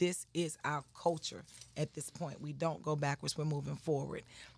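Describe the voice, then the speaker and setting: A woman's very deep, low voice with vocal fry, at a moderate pace. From US South, Atlanta, Georgia. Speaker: priestess and shop owner. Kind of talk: interview.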